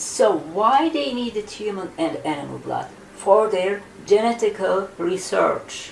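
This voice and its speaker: A woman of medium pitch speaks at a fairly slow pace with lively intonation over noticeable background noise. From Turkey. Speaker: ufologist and author. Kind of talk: interview.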